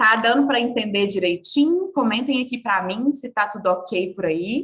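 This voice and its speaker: Her pitch is fairly high for a woman, swinging very widely as she speaks at a fairly slow pace. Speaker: body work mentor. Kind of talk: online workshop lecture. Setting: live video call. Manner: animated.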